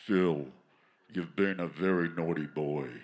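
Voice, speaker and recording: Someone puts on a character voice here. The delivery is fairly slow. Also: man, very deep, low pitch for a man. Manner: booming, scolding.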